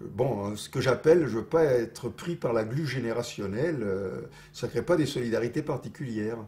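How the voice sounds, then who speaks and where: With ordinary pitch variation, a man talks at a moderate pace in a medium-pitched voice. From Toulouse. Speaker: political activist and intellectual. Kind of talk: interview answer.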